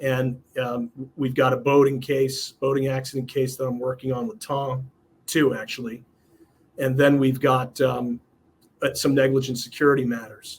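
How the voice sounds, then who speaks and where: With an American accent, a man speaks at a moderate pace and medium pitch in a somewhat breathy voice with monotone, flat intonation. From New York, Westchester County. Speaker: personal injury lawyer. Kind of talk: casual interview. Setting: video recording. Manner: halting, many fillers.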